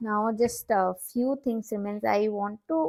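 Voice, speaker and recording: Speaking at a very slow pace, a woman has a fairly high pitch and a dark, mellow tone. She talks with a non-native accent. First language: not English. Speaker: watercolor art teacher. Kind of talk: tutorial. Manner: halting, many fillers.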